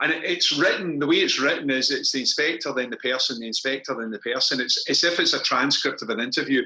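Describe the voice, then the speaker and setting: A man with a Scottish accent talks at a very fast pace with hardly any pauses, his fairly high pitch moving with ordinary variation over noticeable background noise. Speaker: crime novelist. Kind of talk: author interview at book launch.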